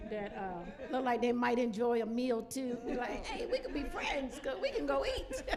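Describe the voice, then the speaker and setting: A woman at a moderate pace, with audible room echo. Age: 60s. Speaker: church women's event panelist. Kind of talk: panel discussion.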